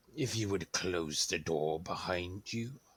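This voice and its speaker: In a put-on character voice, a man talks at a fairly slow pace with a raspy, very deep, low pitch and lively intonation. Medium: actual play. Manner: formal, authoritative.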